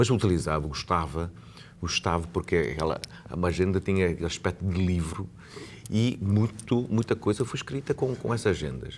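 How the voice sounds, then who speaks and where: Here is a man with a very deep, low pitch. His intonation is lively. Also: moderate pace. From Macau. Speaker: lawyer and Macanese culture advocate. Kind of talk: TV interview. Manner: halting, many repetitions.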